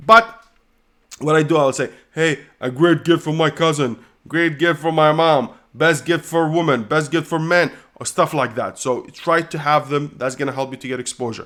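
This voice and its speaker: A man with a non-native accent speaks at a moderate pace and fairly high pitch, his pitch varying in an ordinary way, on a very clean recording with a silent background. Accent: foreign. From Kuwait. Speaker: online business coach. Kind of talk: live Q&A. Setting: livestream.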